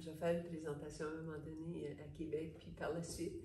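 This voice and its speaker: A woman's very deep, low voice with vocal fry, a dark, mellow tone, a moderate pace and audible room echo. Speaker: psychologist / therapist. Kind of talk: interview.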